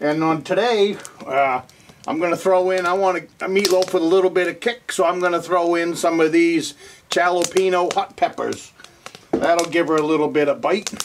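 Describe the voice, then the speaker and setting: A high-pitched man speaks at a moderate pace with fairly even intonation. Noticeable background noise runs underneath. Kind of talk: tutorial. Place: kitchen. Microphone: camera far.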